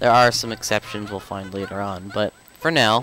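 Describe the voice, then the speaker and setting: A man's fairly low voice, with ordinary pitch variation, comes through noticeable background noise. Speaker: video game let's player. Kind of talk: gameplay commentary. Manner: casual, halting with fillers.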